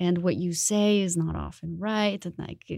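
This woman has a Spanish accent and a dark, mellow tone. She talks at a fairly quick pace. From Colombia, Bogota. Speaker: designer. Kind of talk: interview conversation.

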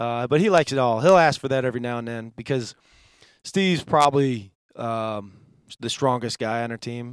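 A man with an American accent talks in a normal speaking voice at medium pitch and a moderate pace, using ordinary pitch variation. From Western New York. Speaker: NFL strength and conditioning coach. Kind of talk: podcast interview. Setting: studio.

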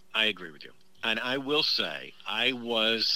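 The tone is bright and sharp, and the intonation stays fairly even. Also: man. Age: 60s. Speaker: writer and director. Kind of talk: casual chat.

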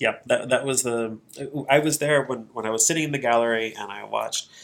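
With an American accent, a man speaks in a normal speaking voice at a moderate pace, his intonation fairly even. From central Missouri. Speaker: clean energy nonprofit founder. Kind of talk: casual interview. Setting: studio.

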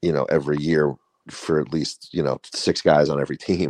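Recorded dry and close with no echo, a man speaks at a very deep, low pitch with vocal fry and fairly even intonation. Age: 30s. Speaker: podcast co-host. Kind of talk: casual chat. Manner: halting.

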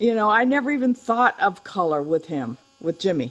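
A woman with a fairly high pitch, lively intonation and an animated tone, over music in the background. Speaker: podcast host. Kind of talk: casual chat.

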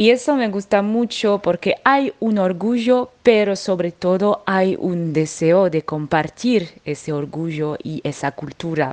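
Her intonation lively and her pitch medium, a woman talks at a very slow pace with hardly any pauses. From French Alps, France. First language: French (speaking Spanish). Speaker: singer. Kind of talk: interview. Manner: halting.

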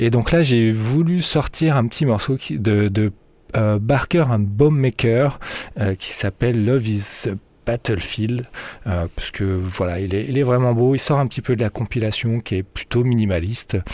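The man talks fairly slowly, his voice at a medium pitch with ordinary variation. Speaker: radio DJ. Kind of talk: radio DJ patter over a techno/house mix, casual and relaxed. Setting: radio studio, broadcast on FM. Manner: relaxed, conversational, laid-back; halting, with many fillers (euh) and repeated words.

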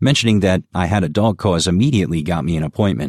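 A man's very deep, low voice at a fairly quick pace, with ordinary pitch variation, on a very clean recording with a silent background. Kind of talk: literary audiobook reading of a humorous first-person column, wry and conversational. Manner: measured, narrative pacing with mock-earnest tone.

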